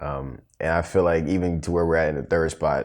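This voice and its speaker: A man's very deep, low voice at a fairly quick pace, with fairly even intonation. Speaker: podcast co-host. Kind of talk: casual chat. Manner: loud; fast.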